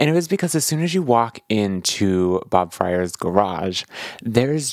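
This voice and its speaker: Lively intonation marks this man's ordinary speaking voice, pitched at a medium level. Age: 30s. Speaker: podcast host. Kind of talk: casual interview chat and narration.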